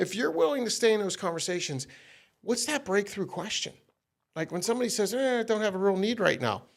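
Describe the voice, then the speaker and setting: A loud man with a high pitch, a very fast pace, an animated tone and lively intonation. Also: very clean recording, silent background. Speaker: sales trainer. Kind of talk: casual chat.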